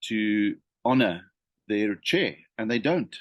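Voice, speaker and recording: In a dry, close sound with no echo and a quiet background, a man with fairly low pitch speaks with lively intonation. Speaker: leadership consultant. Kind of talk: unscripted talk to camera. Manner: hesitant, many fillers and repetitions.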